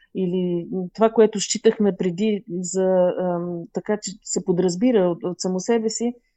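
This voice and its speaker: A woman's fairly low voice at a moderate pace. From Bulgaria, Burgas region. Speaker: fashion designer. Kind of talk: interview. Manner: halting, many fillers.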